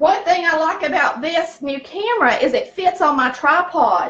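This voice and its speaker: A woman with a Southern US accent speaks loudly with lively intonation. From US South, rural. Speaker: cooking channel host. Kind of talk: cooking tutorial. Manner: chatty, folksy.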